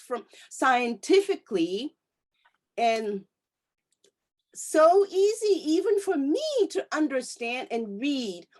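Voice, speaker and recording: Speaking very slowly with a Japanese accent, a woman uses a high pitch and very wide pitch swings. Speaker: interview host. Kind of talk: interview. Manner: halting.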